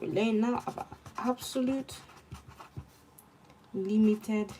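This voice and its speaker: A woman with a slight Nigerian accent speaks at a fairly slow pace, fairly high in pitch with ordinary pitch variation. Noticeable background noise is present. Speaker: law student streamer. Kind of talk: study stream with chat reading. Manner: casual, chatty.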